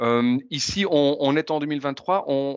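Over a quiet background, a man with a fairly high pitch and a plain, everyday voice speaks with ordinary pitch variation. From Belgium, Ardennes. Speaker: podcast host. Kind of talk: casual chat.

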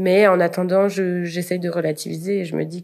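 A woman is speaking. She keeps a moderate pace. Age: 20s. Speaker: university student. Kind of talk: casual interview. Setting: remote call recording. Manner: hesitant, frequent fillers.

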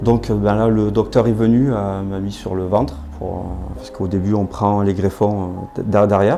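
Music plays in the background as a man speaks at a fairly low pitch. His pace is fairly slow and his intonation fairly even. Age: 40s. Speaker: hair transplant patient. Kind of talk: testimony. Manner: halting, many hesitations.

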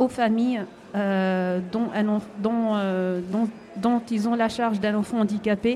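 A woman speaks at a fairly high pitch with fairly even intonation. There is noticeable background noise. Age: 40s. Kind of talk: radio interview. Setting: live broadcast at an indoor market, audience present. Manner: hesitant.

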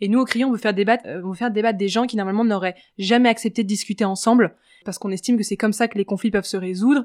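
In a very clean recording with a silent background, a woman with a fairly high voice talks very fast with fairly even intonation. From France, Paris. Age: 20s. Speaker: media entrepreneur. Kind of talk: interview.

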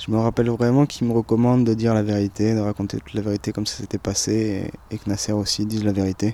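Speaking very fast with hardly any pauses, a man keeps a monotone, flat intonation in a dark, mellow tone. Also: fairly low pitch for a man. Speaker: traveller recounting detention. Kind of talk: testimony.

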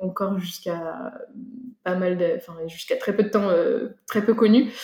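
This woman's voice has a dark, mellow tone at medium pitch. She speaks at a moderate pace. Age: 30s. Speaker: soil scientist and startup founder. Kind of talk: interview.

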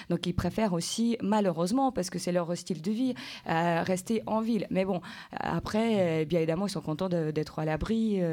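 A woman's dark, mellow tone at a moderate pace, very even in loudness, with ordinary pitch variation. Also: medium pitch for a woman, very clean recording, silent background. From Ukraine. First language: Ukrainian (speaking French). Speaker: translator. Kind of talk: interview on school radio.

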